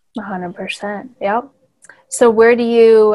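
Flat and monotone in intonation, a woman speaks with a Californian accent. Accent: Californian American. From Hemet, California. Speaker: podcast host and former photographer. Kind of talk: casual interview chat.

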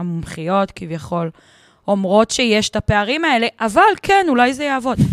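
A woman with a fairly high pitch is heard in a dry, close sound with no echo. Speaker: podcast co-host. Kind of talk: casual chat.

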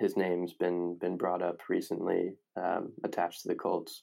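Speaking at a fairly slow pace, a man talks in a Midwestern American accent. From Indiana (Indianapolis). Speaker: sports podcast host. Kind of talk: solo sports analysis podcast. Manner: hesitant, many fillers.

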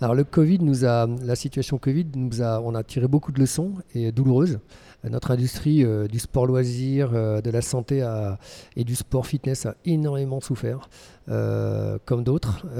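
A man with a dark, mellow tone, medium pitch and ordinary pitch variation at a fairly slow pace, in a very clean recording with a silent background. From Brittany, France (Lorient). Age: 50s. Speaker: fitness school founder. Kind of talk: interview. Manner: halting, repeats words.

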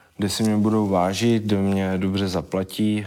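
Speaking at a very slow pace, a man uses a monotone, flat intonation at a fairly low pitch. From Czechia, Vyškov (South Moravia). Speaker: MMA fighter and soldier. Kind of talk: casual interview.

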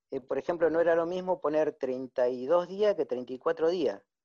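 Against a quiet background, a man with a fairly high voice speaks at a fairly slow pace. His intonation is lively. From Tucumán, Argentina. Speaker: small investor. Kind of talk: casual chat. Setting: video call.

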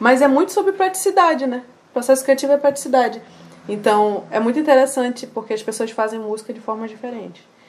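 Over noticeable background noise, a woman speaks at a very fast pace and a high pitch, with lively intonation. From Amazonas, Brazil. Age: 20s. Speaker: singer. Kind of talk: interview.

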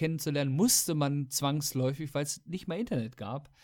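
A man's fairly high-pitched voice, a normal speaking voice, with ordinary pitch variation in a very clean recording against a silent background. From Weserbergland, Lower Saxony. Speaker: podcast host. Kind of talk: casual chat.

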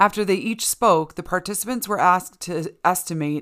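A woman's bright, sharp voice at medium pitch and a moderate pace. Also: very clean recording, silent background. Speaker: podcast host reading articles. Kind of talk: reading aloud. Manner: self-assured, playful.

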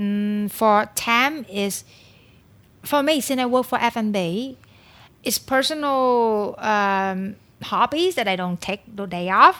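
A woman with a Vietnamese accent speaks at a very slow pace, her tone bright and sharp and her intonation lively. The recording is very clean, with a silent background. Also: fairly high pitch for a woman. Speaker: food and beverage consultant. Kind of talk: podcast interview.

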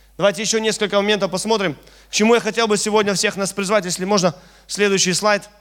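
A man talks very fast in an animated tone with a high pitch. Noticeable background noise runs underneath. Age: 30s. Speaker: preacher. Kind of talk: sermon.

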